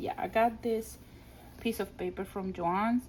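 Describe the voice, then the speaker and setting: A woman speaks at a fairly slow pace with a Spanish accent. Her voice is somewhat breathy. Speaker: scrapbooking crafter. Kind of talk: craft album flip-through. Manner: casual, hesitant with fillers and restarts.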